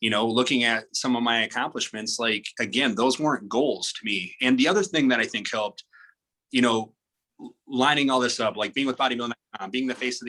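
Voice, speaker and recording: Here a man with an American accent speaks fairly quickly in a bright, sharp tone. His pitch is medium with ordinary variation. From South Dakota, US Midwest. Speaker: pro bodybuilder and fitness model. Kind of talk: podcast interview. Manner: casual, filler-heavy.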